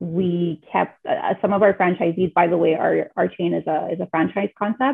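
A woman speaks at a moderate pace in a fairly low voice, with fairly even intonation, a slightly husky edge and some vocal fry.

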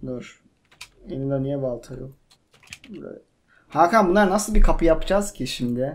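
A high-pitched man talks at a fairly slow pace with ordinary pitch variation. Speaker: gaming youtuber. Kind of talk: casual gameplay chat. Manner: animated. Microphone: cheap microphone, buzzing noise.

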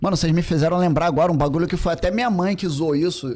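A man talks with ordinary pitch variation. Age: 40s. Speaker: podcast guest. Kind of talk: casual chat. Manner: halting. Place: studio. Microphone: studio mic.

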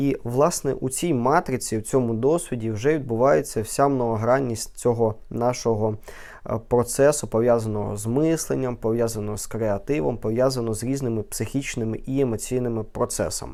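The recording is very clean, with a silent background. A man with a dark, mellow tone speaks at medium pitch and a moderate pace, with ordinary pitch variation. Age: 20s. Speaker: neurologist. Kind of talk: educational vlog talk.

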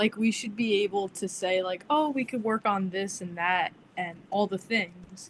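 A woman speaks with ordinary pitch variation and a somewhat breathy sound. Light background noise is present. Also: fairly slow pace. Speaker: therapy student. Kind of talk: group discussion. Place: home room. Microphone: video call.

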